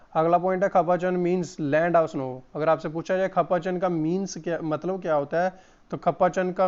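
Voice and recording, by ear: Fairly high for a man, his voice has a clear, smooth tone that is slightly mellow. He speaks at a fairly slow pace with fairly even intonation.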